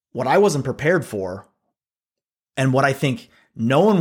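Speaking at a moderate pace, a man has an ordinary speaking voice with a medium pitch. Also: very clean recording, silent background. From Pennsylvania, US. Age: 40s. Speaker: podcast host, agency CEO. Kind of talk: scripted monologue.

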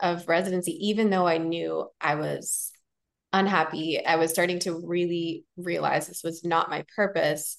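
With a General American accent, a woman in a plain, everyday voice speaks fairly slowly at a fairly low pitch, using ordinary pitch variation. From United States. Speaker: physician turned coach and podcaster. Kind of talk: casual interview.

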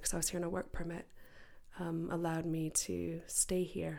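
This is a normal speaking voice with an American accent. The intonation is fairly even and the pace fairly quick. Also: woman. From United States. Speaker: podcast co-host, workspace founder. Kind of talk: casual chat.

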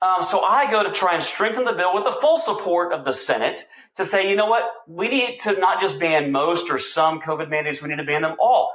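A man with a high pitch talks at a fairly quick pace with hardly any pauses, in audible room echo. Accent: American. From Texas. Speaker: state legislator. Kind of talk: political interview. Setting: remote video call.

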